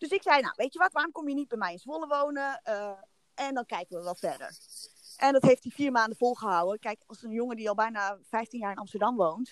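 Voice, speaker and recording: Her voice high-pitched and her intonation lively, a woman talks at a fairly quick pace with big swings in loudness, recorded dry and close with no echo. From Netherlands, Haarlem. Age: 30s. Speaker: podcast guest. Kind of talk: casual chat.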